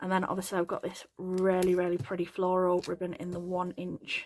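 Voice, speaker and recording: Someone with an English accent talks at a fairly quick pace. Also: woman. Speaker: craft tutorial youtuber. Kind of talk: product unboxing haul. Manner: fast; repetitive fillers, casual.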